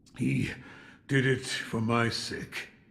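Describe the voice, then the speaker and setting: The speaker uses a put-on character voice that sounds raspy. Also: man, medium pitch for a man. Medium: video game. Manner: terse, flat.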